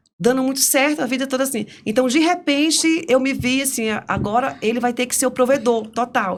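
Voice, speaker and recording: Fairly quick pacing from a woman with a high pitch. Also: ordinary pitch variation, hardly any pauses. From Brazil, interior of Piauí. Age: 50s. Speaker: podcast guest, career changer. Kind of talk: interview conversation.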